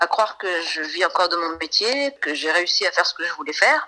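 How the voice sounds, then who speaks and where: With a bright, sharp tone, a woman speaks at a moderate pace in a medium pitch. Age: 40s. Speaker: singer. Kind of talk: interview. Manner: animated.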